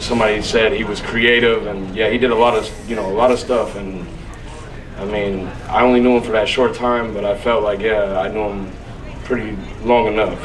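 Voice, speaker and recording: Against noticeable background noise and audible room echo, a man speaks at a moderate pace with a fairly low pitch and monotone, flat intonation. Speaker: son-in-law giving a eulogy. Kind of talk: eulogy at a family memorial. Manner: loud.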